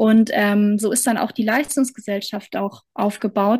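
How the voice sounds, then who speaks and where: A somewhat breathy woman's voice at a fairly high pitch. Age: 30s. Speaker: mentor and coach. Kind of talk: interview.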